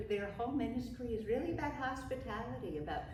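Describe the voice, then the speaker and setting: A woman with a northern US accent, with audible room echo and noticeable background noise. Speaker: pastor. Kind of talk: casual interview. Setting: church, on camera.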